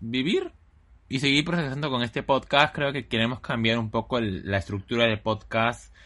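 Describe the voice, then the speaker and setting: This man has a medium pitch, ordinary pitch variation and a bright, sharp tone. He speaks at a moderate pace against a quiet background. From Lima, Peru. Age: 20s. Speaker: podcast co-host. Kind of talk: casual chat.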